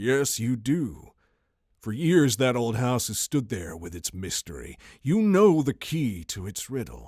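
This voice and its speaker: Soft-spoken and at a fairly slow pace, a man uses a put-on character voice at a medium pitch with very wide pitch swings, in a very clean recording with a silent background. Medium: read story. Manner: soft but insistent.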